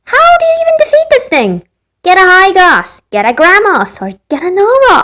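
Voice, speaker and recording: In a put-on character voice, a woman sounds squeaky and extremely high-pitched at a moderate pace. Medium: solo performance. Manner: casual, joking.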